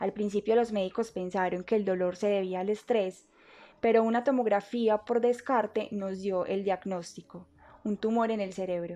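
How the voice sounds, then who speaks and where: With fairly even intonation and a dark, mellow tone, a woman speaks in front of a quiet background. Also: medium pitch for a woman, moderate pace. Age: 20s. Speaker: university student. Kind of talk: testimony.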